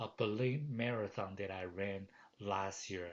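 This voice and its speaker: A man with a Chinese accent speaks at a fairly slow pace. His pitch is fairly low, with ordinary variation. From Taiwan. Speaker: professor. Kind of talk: course welcome message. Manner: halting, many fillers.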